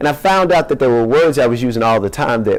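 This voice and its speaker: The voice belongs to a man. He speaks in an American accent. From US South, Louisiana (Shreveport). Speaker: poet. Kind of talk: casual audience chat; poetry reading.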